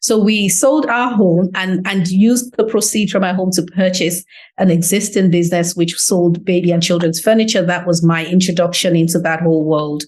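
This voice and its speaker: Speaking at a moderate pace with an English accent, a woman keeps her loudness very even, her pitch medium with ordinary variation, and hardly pauses at all. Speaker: business owner. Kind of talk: interview. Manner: animated.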